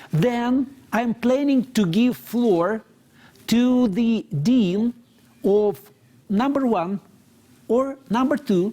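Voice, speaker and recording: A man with a strong Moscow accent, extremely high in pitch with ordinary pitch variation, very even loudness and a very slow pace. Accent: strong Russian (Muscovite). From Russia, Moscow. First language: Russian. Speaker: moderator, university vice rector. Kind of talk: panel discussion moderation. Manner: halting, repeats words.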